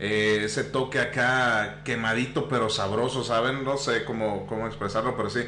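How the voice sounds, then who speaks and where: A man speaks with hardly any pauses and very even loudness. The recording carries audible room echo and noticeable background noise. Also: medium pitch for a man, moderate pace. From Mexico, Tampico, Tamaulipas. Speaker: podcast host. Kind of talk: casual chat. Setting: live stream.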